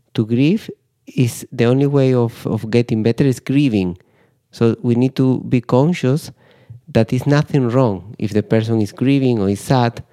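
In a Spanish accent, a man speaks at medium pitch with a dark, mellow tone and ordinary pitch variation. His loudness stays very even at a moderate pace, and the sound is dry and close with no echo. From Spain. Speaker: grief psychotherapist. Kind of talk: interview. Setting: studio.

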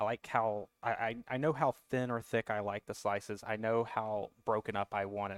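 In a Southern US accent, a man speaks with a fairly low pitch and fairly even intonation, with hardly any pauses, on a very clean recording with a silent background and a dry, close sound with no echo. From US South. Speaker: cigar distributor guest.

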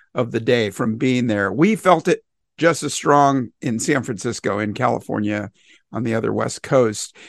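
Over a quiet background, a man speaks at a medium pitch with vocal fry. His pace is moderate and his pitch variation ordinary. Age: 60s. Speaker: retired police officer, podcast host. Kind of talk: panel discussion.

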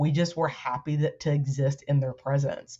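At a moderate pace, a woman talks in a very deep, low voice that is somewhat breathy. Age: 40s. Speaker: educator and activist. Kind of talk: casual interview chat.

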